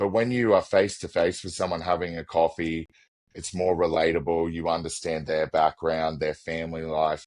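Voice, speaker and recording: A man's very deep, low voice with an Australian accent, fairly even intonation and a moderate pace. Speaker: business executive. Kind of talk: podcast interview.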